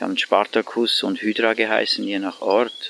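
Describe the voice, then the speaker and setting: A man's speech comes at a moderate pace, with noticeable background noise behind it. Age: old. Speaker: cooperative member and activist. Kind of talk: interview. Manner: hesitant with many fillers.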